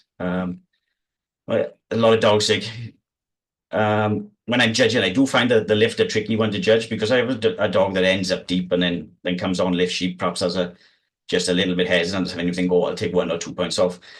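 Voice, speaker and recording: A man with a South Wales accent, fairly quick pace and fairly even intonation, against a quiet background. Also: fairly low pitch for a man. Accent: South Wales valleys. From South Wales valleys. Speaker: sheepdog trial handler. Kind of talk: casual interview chat. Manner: calm.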